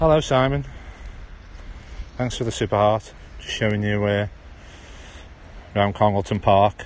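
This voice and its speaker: In a Stoke-on-Trent accent, a man speaks with a fairly low pitch and long, frequent pauses. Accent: Stoke-on-Trent accent, drops H's. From Stoke-on-Trent, English Midlands. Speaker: live streamer. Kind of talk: casual walking livestream. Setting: outdoors in a park.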